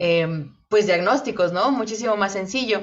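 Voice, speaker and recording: The pace of this woman's speech is moderate. Ordinary pitch variation runs through it. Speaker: podcast co-host. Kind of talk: casual chat. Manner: loud; halting.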